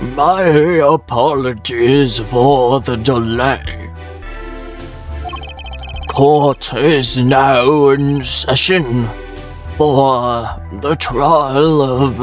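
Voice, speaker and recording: Over clear music in the background, a man uses a put-on character voice at a medium pitch and a very slow pace. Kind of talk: formal, courtroom.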